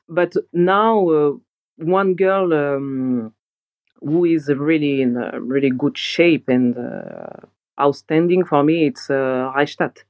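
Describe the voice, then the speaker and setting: A woman's very deep, low pitch moves with ordinary pitch variation. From France. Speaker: professional handball player. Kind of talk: interview.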